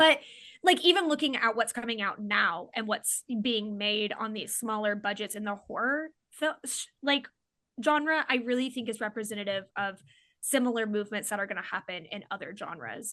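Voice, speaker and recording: Against a quiet background, a woman speaks with a slight Oklahoma accent and a fairly high pitch. Her tone is bright and sharp, her intonation lively, her pace moderate. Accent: slight Oklahoma accent on certain words. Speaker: comedian and filmmaker. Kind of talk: casual chat. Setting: podcast interview.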